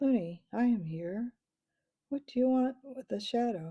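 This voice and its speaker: Using a put-on character voice with a high pitch, a woman speaks at a fairly slow pace. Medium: read story. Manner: soft.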